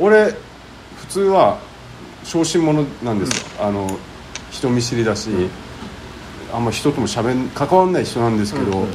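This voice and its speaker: A man's medium-pitched voice at a moderate pace, with very wide pitch swings and long, frequent pauses, amid audible room echo and noticeable background noise. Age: 40s. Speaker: podcast co-host. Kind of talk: casual chat. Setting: recorded in a soba restaurant.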